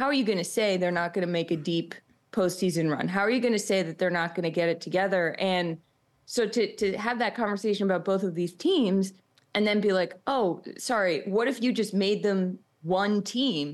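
A woman with an American accent, medium in pitch, with ordinary pitch variation and a moderate pace against a quiet background, an unremarkable speaking voice. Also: very even loudness. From Boston. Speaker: sports podcast co-host. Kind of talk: casual chat.

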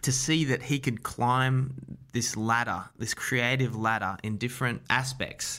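A man with an Australian accent speaks at a moderate pace in a bright, sharp tone. His intonation is fairly even, and the recording is very clean, with a silent background. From Australia, Wollongong. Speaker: documentary director. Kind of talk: interview.

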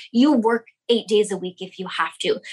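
Her voice sits fairly high, carrying an American accent. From US West Coast, Sonoma County, California. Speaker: lash salon owner and business coach. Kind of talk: casual interview chat.

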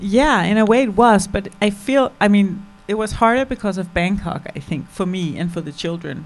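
Delivered at a moderate pace with hardly any pauses, a plain, everyday voice carries ordinary pitch variation. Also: woman, medium pitch for a woman. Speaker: documentary filmmaker. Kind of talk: post-screening Q&A.

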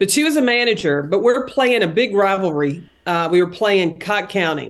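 Against a quiet background, a woman talks at a medium pitch in a Tennessee accent. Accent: Southern, Tennessee drawl. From Tennessee, Knoxville. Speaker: basketball analyst and former coach. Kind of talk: casual chat.

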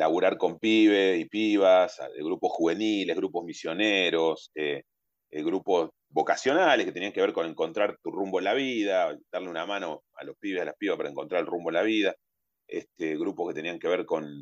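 Recorded with a dry, close sound and no echo, a man talks at a moderate pace with big swings in loudness. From Argentina, Carmen de Patagones (Buenos Aires province). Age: 40s. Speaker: human rights testimony guest, restored grandchild's brother. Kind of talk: personal testimony. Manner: halting, many fillers and repetitions.

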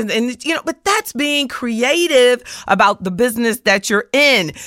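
A woman talks in an animated tone with an American accent. The recording is very clean, with a silent background. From US South. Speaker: financial advisor and podcast host. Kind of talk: solo motivational talk.

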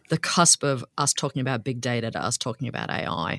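A woman speaks in an Australian accent with a very deep, low pitch. The recording is very clean and dry, close with no echo, against a silent background. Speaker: anthropologist and professor. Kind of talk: interview conversation.

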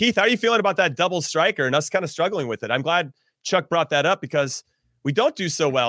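Speaking very fast, a man with a fairly high pitch and a bright, sharp tone sounds animated, his intonation lively, on a very clean recording with a silent background and a dry, close sound with no echo. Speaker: podcast host and former soccer player. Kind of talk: casual sports chat.

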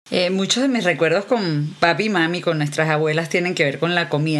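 A woman's voice amid noticeable background noise. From Venezuela. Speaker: podcast host and novelist. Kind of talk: casual interview.

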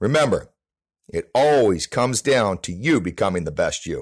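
A man at a medium pitch swings very widely in pitch, with vocal fry, in a very clean recording with a silent background. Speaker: baseball trainer. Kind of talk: scripted segment. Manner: passionate.

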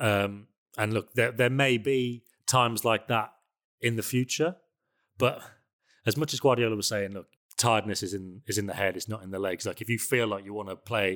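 At a fairly quick pace, a man with a normal speaking voice talks at a fairly low pitch with fairly even intonation, on a very clean recording with a silent background. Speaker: football journalist. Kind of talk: casual chat.

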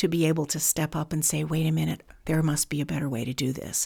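A woman with an American accent and a very deep, low pitch, on a very clean recording with a silent background. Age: 60s. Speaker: foster care advocate. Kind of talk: interview. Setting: on location.

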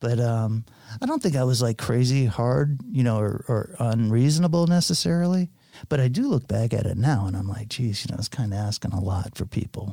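A man with a medium pitch has a dark, mellow, somewhat breathy tone. He talks at a fairly quick pace with lively intonation. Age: 50s. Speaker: charter fishing captain. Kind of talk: casual chat. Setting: studio.

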